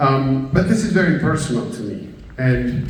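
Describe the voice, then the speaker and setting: A man's voice at medium pitch, with audible room echo and noticeable background noise. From Spain (Basque Country / Galicia). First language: Basque and Galician. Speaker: professor. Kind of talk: keynote speech. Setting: stage with audience. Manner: hesitant, many fillers.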